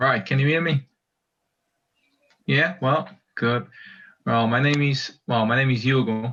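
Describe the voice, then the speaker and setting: A man at a medium pitch with a Portuguese accent, a bright, sharp tone and long, frequent pauses. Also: ordinary pitch variation, fairly slow pace. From Portugal. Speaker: community member. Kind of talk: casual chat.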